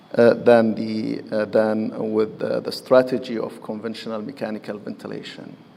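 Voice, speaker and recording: A man with a medium pitch talks at a fairly slow pace with fairly even intonation over noticeable background noise. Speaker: physician giving a medical presentation. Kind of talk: lecture. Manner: halting.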